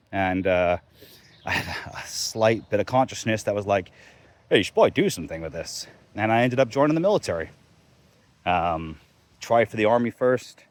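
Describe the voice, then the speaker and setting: Speaking with an American accent, a man with a fairly low voice uses lively intonation and long, frequent pauses. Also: big swings in loudness. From England until ten, then America from 10 to 15. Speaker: vlogger, military veteran. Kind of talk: casual personal story monologue. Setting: outdoors, walking dogs. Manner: casual, hesitant with many fillers.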